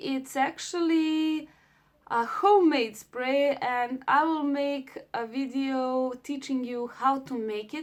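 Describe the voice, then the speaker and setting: A woman with a non-native accent speaks very slowly in a high pitch with ordinary pitch variation. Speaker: beauty vlogger. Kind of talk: tutorial.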